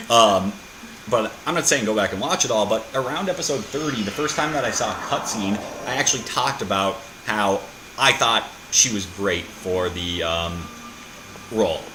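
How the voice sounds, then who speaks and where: Fairly low in pitch, a man talks with lively intonation and long, frequent pauses. Audible room echo and noticeable background noise surround him. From Minnesota, US Midwest. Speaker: gaming video creator. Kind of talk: let's play commentary. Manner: fast.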